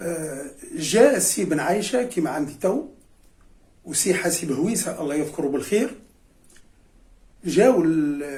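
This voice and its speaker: The man's voice has a dark, mellow tone. His pitch swings very widely. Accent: Cap Bon. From Tunisia, Beni Khiar (Nabeul). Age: 70s. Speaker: retired history and geography teacher, former club player. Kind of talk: reminiscing interview. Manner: hesitant, many fillers and repetitions.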